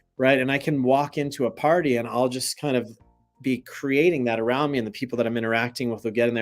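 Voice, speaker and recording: A man with an American accent talks at a very fast pace. His medium-pitched voice keeps fairly even intonation. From US South. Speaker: meditation teacher. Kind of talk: spiritual teaching livestream. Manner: casual, conversational.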